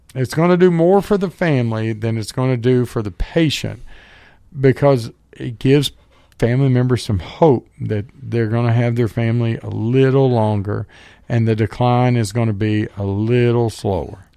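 Speaking in a Southern US accent, a man uses a dark, mellow tone at medium pitch, with ordinary pitch variation and a moderate pace. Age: 40s. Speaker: radio host and medical professional. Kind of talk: casual chat.

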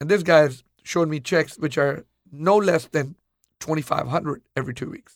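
A man speaks in a plain, everyday voice at a fairly high pitch and a moderate pace. His loudness swings widely, while his pitch variation stays ordinary. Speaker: furniture store owner. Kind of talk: interview storytelling.

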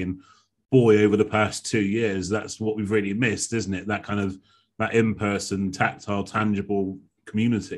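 Here is a man with a plain, everyday voice. He speaks at a fairly quick pace in a fairly low pitch. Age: 40s. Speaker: podcast host, speaking coach. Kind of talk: interview conversation. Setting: video call.

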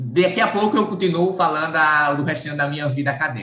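A man talks with ordinary pitch variation, and audible room echo hangs around his voice. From Brazilian Northeast, rural Alagoas. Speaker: university mathematics professor. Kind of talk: radio interview.

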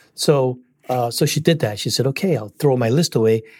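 A man talks at a fairly quick pace with lively intonation and a dark, mellow, somewhat breathy tone. The recording is very clean with a silent background and a dry, close sound with no echo. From Singapore. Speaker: business coach and author. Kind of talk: interview.

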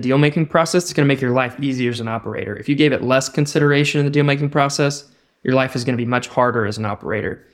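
A man with an American accent, fairly high pitch and fairly even intonation, in a very clean recording with a silent background. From Texas. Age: 30s. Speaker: business owner. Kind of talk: interview.

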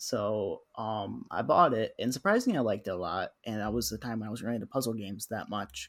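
A man's unremarkable speaking voice at a medium pitch and fairly quick pace, on a very clean recording with a silent background. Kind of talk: casual chat.

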